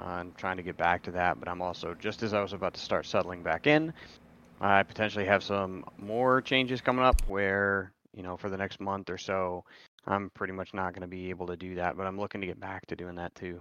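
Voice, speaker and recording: This man has a very deep, low pitch and a bright, sharp tone. He talks at a fairly quick pace with big swings in loudness. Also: quiet background. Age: 40s. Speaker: streamer and woodworker. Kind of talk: casual chat.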